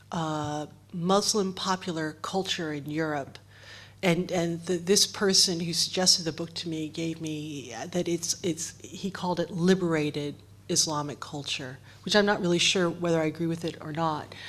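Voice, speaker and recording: A strong American accent carries fairly even intonation at a moderate pace. The recording is very clean, with a silent background. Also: woman, fairly low pitch for a woman. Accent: heavy American. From United States. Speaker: writer and editor. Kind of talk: panel discussion. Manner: halting, many repeated words.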